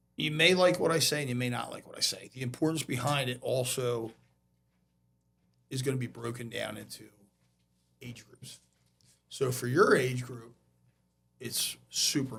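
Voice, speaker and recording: A man at medium pitch with vocal fry, moderate pace and ordinary pitch variation, with long, frequent pauses and big swings in loudness. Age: 50s. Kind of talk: podcast interview.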